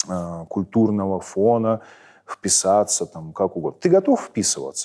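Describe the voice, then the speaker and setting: A man with a Moscow accent speaks at a fairly slow pace in a fairly low pitch. His tone is dark and mellow against a quiet background. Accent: Moscow Russian accent when speaking Ukrainian. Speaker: military commander. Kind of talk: interview. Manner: many filler sounds (e, m).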